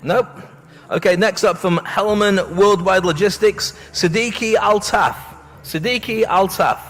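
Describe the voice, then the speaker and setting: With a northeast English accent, a man speaks at a high pitch in an upbeat tone and a fairly slow pace. His loudness stays very even despite noticeable background noise. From northeast England. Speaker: awards ceremony host. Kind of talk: live event hosting. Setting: stage with audience. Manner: jokey, upbeat.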